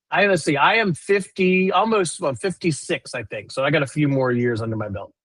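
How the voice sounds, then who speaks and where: Loud and animated, a man speaks at a fairly quick pace with a fairly high pitch and very wide pitch swings, in a dry, close sound with no echo. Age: 50s. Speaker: recruiter and live show host. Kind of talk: live stream casual chat.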